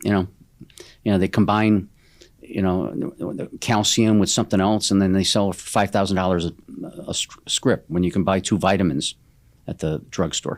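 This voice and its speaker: A man with a very deep, low voice speaks at a moderate pace, his fairly even intonation broken by long, frequent pauses. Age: 70s. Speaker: company chairman. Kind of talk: interview conversation. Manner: halting, many repetitions.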